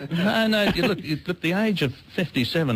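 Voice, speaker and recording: A man at a very fast pace with very wide pitch swings, over noticeable background noise. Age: 70s. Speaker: hairdresser. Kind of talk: radio interview. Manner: halting.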